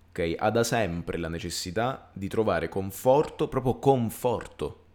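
With lively intonation, a man of fairly low pitch speaks on a very clean recording with a silent background. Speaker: podcast co-host. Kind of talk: casual chat. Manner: halting.

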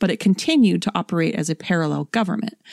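A woman's fairly low, animated, playful voice with vocal fry, fairly quick with ordinary pitch variation, dry and close with no echo on a very clean recording over a silent background. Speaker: podcast co-host, storyteller. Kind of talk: ghost story telling, spooky narration.

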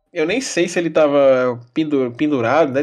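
Over background music, a man talks at a moderate pace. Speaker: football podcast co-host. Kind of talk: casual chat.

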